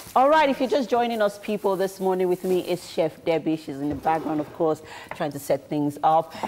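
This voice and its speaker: Against light background noise, a woman with a Nigerian accent and fairly low pitch speaks at a fairly quick pace with lively intonation. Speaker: TV morning show co-host. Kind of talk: casual chat. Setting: studio. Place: studio.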